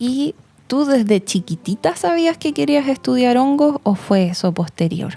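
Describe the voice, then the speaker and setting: A woman speaks at a fairly slow pace in a high voice with very wide pitch swings, her loudness very even and the sound dry and close with no echo. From Chile. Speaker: podcast host. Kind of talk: interview.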